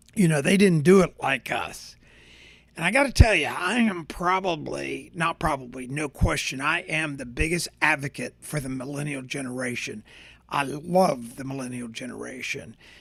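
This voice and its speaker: The voice has vocal fry and big swings in loudness. It moves at a moderate pace with ordinary pitch variation. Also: man, fairly high pitch for a man. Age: 60s. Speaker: podcast host. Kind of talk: casual monologue. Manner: animated; halting with fillers.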